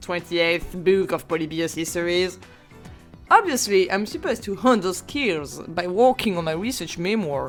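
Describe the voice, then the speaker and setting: With music in the background, a woman with a non-native accent talks at a moderate pace and with lively intonation. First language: not English. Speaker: history student. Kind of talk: video essay narration. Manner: stuttering.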